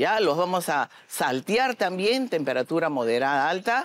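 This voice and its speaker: Dry with no echo, a woman's fairly low voice moves through very wide pitch swings. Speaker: chef judge instructor. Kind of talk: tutorial. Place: studio. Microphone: lapel.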